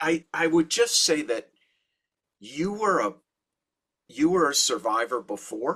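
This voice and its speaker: A man's bright, sharp voice, fairly high in pitch, with very wide pitch swings, a fairly slow pace, and long, frequent pauses. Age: 60s. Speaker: rabbi and author. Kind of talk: interview conversation.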